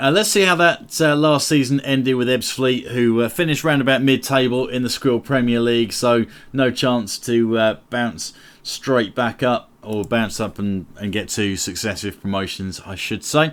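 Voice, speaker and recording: On a very clean recording with a silent background, a man with an English accent speaks at a moderate pace with hardly any pauses. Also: medium pitch for a man, ordinary pitch variation. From England. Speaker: gaming YouTuber. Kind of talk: gameplay commentary. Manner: casual, many fillers.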